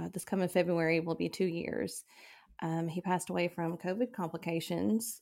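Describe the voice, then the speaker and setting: A woman with a Southern US accent speaks at a moderate pace in a fairly low pitch with ordinary pitch variation and vocal fry, on a very clean recording with a silent background. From West Tennessee. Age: 30s. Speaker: widow sharing grief story. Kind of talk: personal testimony interview.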